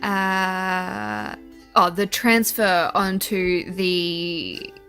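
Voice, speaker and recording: There is music in the background behind a voice with a New Zealand accent. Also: woman. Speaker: artist. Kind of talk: casual voice-over narration.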